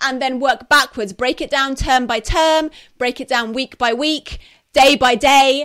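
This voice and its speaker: Pitched high, a woman with a British accent speaks at a moderate pace with ordinary pitch variation on a very clean recording with a silent background. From UK. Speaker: podcast host and homeschooling educator. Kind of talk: advice talk on live broadcast. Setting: live stream on social media. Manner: quieter, mellow.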